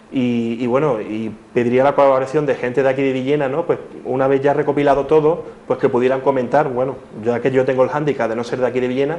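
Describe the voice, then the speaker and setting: Very fast, monotone male speech at a medium pitch, flat in intonation. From Cádiz, Andalusia; Andalusia. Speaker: schoolteacher; interview guest. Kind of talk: TV interview. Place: studio. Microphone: lapel.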